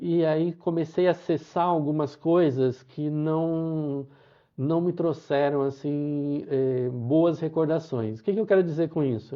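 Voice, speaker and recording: Very slow, fairly high-pitched male speech. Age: 60s. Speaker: pilgrim sharing travel experience. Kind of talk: live talk to online audience. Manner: halting, many repetitions and fillers.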